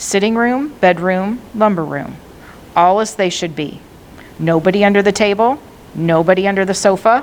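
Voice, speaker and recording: A woman with a plain, everyday voice, medium pitch, moderate pace and ordinary pitch variation. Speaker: librarian reading aloud. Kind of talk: audiobook-style read-aloud of a classic novel.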